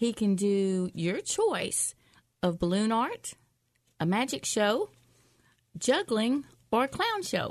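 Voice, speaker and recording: This woman's fairly high voice has lively intonation and very even loudness, moving at a very slow pace with long, frequent pauses. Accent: Southern US. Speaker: shopping podcast co-host. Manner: casual, chatty.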